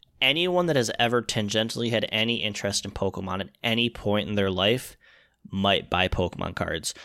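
A man with a fairly low pitch talks at a fairly quick pace in an ordinary speaking voice. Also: very clean recording, silent background. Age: 30s. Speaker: podcast co-host. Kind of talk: casual chat.

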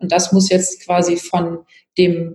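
A woman speaks with vocal fry. Her intonation is monotone and flat. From Palatinate, Germany. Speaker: politician. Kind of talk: interview.

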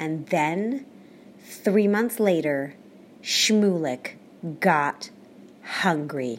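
A woman speaks in an animated, playful tone with very wide pitch swings. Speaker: storyteller and podcast host. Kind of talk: folktale storytelling, children's story performed with character voices. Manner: animated, expressive, playful.

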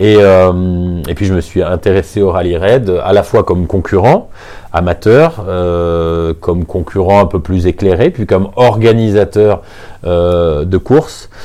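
Very slowly, a man talks at a very deep, low pitch. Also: ordinary pitch variation. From southern France, Nice. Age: 50s. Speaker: motor racing circuit director. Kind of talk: interview. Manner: hesitant, frequent fillers.

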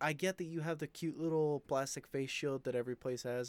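An unremarkable speaking voice from a man at a fairly quick pace, with ordinary pitch variation and a dry, close sound with no echo. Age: 20s. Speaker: podcast host. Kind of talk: casual monologue. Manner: casual, filler-heavy.

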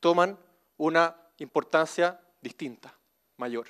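With a Chilean accent, a man speaks at a high pitch in a dry, close sound with no echo, on a very clean recording with a silent background. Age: 40s. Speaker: civil engineer. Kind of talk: motivational talk.

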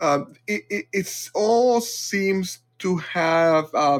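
A man speaks in a high voice on a very clean recording with a silent background. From Puerto Rican family raised in Massachusetts, US. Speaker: podcast host and facilitator. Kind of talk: casual interview conversation.

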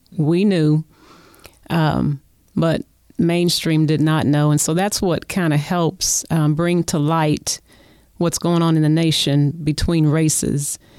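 A woman's very deep, low voice in an Oklahoma accent, dark and mellow, monotone and flat, very even in loudness, at a very slow pace. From Oklahoma City. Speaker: community volunteer. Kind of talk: casual chat. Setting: studio.

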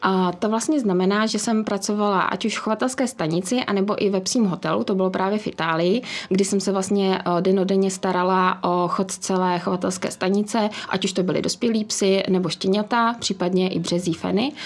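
A woman with an ordinary speaking voice talks at a moderate pace and medium pitch, her intonation fairly even, her loudness very even, and hardly any pauses. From Czechia, village near Příbram. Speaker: business executive and dog breeder. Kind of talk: interview.

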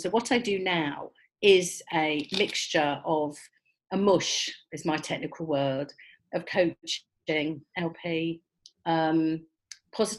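A woman speaks in a normal speaking voice, pitched fairly low. Her pitch varies an ordinary amount. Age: 60s. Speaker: life coach. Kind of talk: interview.

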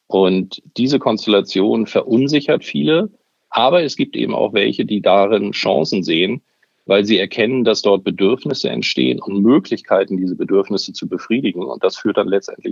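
The man's delivery is dry and close with no echo, and he keeps a moderate pace. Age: 50s. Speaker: media executive. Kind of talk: interview.

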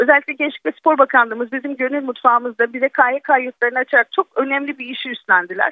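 A woman with a high pitch speaks at a very fast pace with hardly any pauses. Her pitch varies in an ordinary way, and her loudness swings widely. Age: 40s. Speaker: chef and volunteer kitchen organizer. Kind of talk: radio interview.

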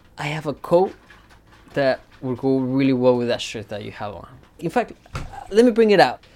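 Using a Spanish accent, a man talks at a fairly quick pace with a medium pitch, very wide pitch swings and long, frequent pauses. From Mexico (Querétaro), then Texas from age nine. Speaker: farm assistant manager. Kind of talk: casual personal talk. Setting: at home.

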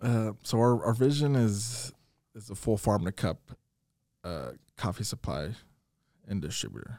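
A man's fairly slow, dark, mellow voice with an American accent, ordinary pitch variation, big swings in loudness and long, frequent pauses. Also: medium pitch for a man, very clean recording, silent background. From Iowa, small town. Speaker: coffee entrepreneur. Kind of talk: interview.

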